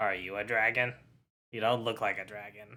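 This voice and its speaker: A man's raspy, put-on character voice, fairly low in pitch, monotone and flat, at a moderate pace. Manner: suspicious, questioning.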